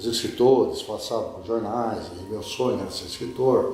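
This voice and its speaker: A man speaks at medium pitch with audible room echo. Noticeable background noise can be heard. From Brazil, Piracicaba (São Paulo interior). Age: 70s. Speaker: journalist and writer. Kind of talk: interview. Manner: conversational, with hesitations.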